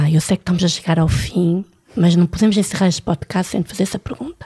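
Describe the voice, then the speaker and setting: A woman speaks in an ordinary speaking voice, fairly low in pitch, with fairly even intonation. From France. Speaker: podcast host. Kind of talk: casual chat.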